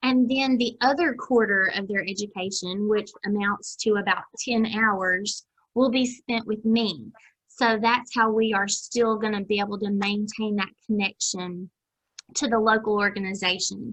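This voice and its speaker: A woman speaks at a fairly slow pace, her fairly high voice keeping fairly even intonation. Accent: Southern US. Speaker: extension agent running a master gardener program. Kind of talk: video call meeting announcements. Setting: video call.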